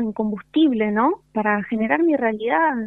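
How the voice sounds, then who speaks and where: A woman with a Rioplatense accent speaks at a moderate pace. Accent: Argentine Rioplatense Spanish. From Argentina, Concordia, Entre Ríos. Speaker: yoga and spiritual teacher. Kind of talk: casual interview. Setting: phone call.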